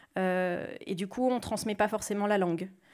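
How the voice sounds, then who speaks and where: The background stays quiet while a woman talks. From rural France. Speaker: podcast creator; speaker. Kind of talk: panel talk. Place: hall. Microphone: handheld.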